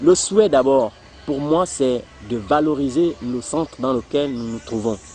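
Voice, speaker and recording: Fairly slow pace and ordinary pitch variation, with music in the background. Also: man, medium pitch for a man. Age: 30s. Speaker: circus performer and trainer. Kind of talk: documentary interview.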